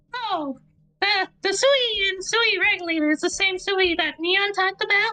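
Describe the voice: Someone puts on a character voice at an extremely high pitch, speaking at a moderate pace.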